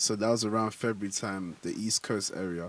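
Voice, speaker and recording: A man with a London accent talks in a relaxed tone, his pitch fairly low and his intonation fairly even. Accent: London accent, kept unchanged. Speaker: afrobeats artist. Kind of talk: radio interview. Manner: casual, relaxed.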